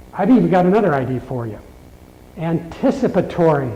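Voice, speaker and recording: Over noticeable background noise, a man speaks at a fairly quick pace with a fairly high pitch and very wide pitch swings. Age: 60s. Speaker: keynote speaker. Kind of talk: keynote speech.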